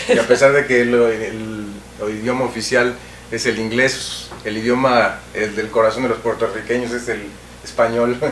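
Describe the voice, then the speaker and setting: Audible room echo and noticeable background noise fill this recording. A man at medium pitch speaks at a moderate pace in a monotone with flat intonation. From Mexico. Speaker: TV cultural show host. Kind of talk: interview.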